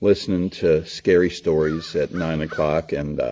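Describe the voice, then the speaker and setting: A man talks with an American accent. His pace is fairly slow. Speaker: storyteller. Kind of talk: casual talk to camera. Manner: folksy, warm.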